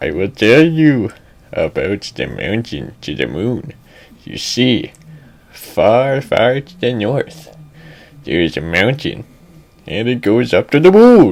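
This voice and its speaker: Using a put-on character voice at medium pitch, a man talks at a fairly slow pace with long, frequent pauses. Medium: read story. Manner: creepy, rambling.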